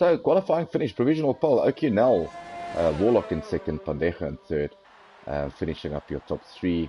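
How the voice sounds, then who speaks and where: A man with a South African accent talks fairly quickly at a fairly low pitch, making very wide pitch swings. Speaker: sim racing commentator. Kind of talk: live commentary.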